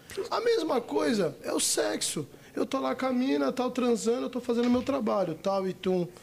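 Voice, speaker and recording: This man's voice sits at an extremely high pitch, moving at a moderate pace against noticeable background noise. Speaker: adult film actor. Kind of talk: casual chat.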